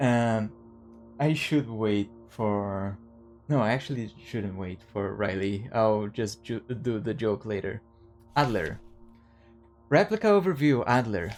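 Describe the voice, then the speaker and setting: Over music in the background, a man with a non-native accent speaks very slowly with long, frequent pauses. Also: medium pitch for a man, ordinary pitch variation. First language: not English. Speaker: video game streamer. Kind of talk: gameplay commentary. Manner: halting.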